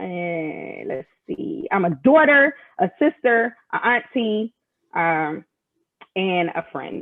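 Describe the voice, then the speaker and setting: Using very wide pitch swings and long, frequent pauses, a woman speaks with an American accent. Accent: Philadelphia accent, comes out when angry. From Philadelphia, Pennsylvania. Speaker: military senior enlisted leader. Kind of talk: casual interview chat. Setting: live video stream.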